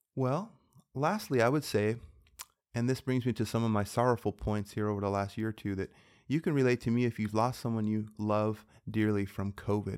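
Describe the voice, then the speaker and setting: A man's fairly low-pitched, unremarkable speaking voice, fairly quick in pace with fairly even intonation, on a very clean recording with a silent background. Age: 40s. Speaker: physician and health podcast host. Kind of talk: casual inspirational monologue.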